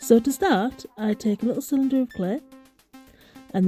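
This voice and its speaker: Over music in the background, a woman with a Teesside accent speaks at a fairly high pitch with lively intonation, in a dry, close sound with no echo. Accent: Teesside (Smoggy). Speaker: polymer clay crafter. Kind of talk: craft tutorial voice-over.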